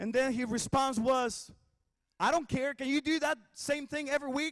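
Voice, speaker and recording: A man with a Spanish accent, extremely high in pitch, at a moderate pace with fairly even intonation, in a dry, close sound with no echo. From Mexico. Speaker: worship pastor. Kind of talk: commencement speech. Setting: graduation ceremony.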